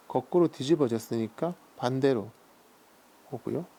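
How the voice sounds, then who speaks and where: The speaker is a man with a calm tone. His pitch varies in an ordinary way. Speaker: seal carving and calligraphy artist. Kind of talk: casual talk-through of his craft while working, explaining terms. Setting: quiet workshop, close recording with stone grinding sounds. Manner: calm, soft-spoken, reflective.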